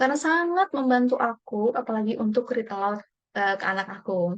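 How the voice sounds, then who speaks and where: A woman with a Javanese accent speaks at a fairly quick pace. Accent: Javanese-tinged Indonesian (medok). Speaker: workshop participant. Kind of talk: personal video monologue. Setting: home recording at night. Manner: casual, with fillers.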